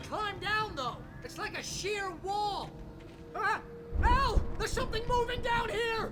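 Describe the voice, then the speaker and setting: A man in a put-on character voice talks at a moderate pace with long, frequent pauses over loud music in the background. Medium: game stream. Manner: sarcastic.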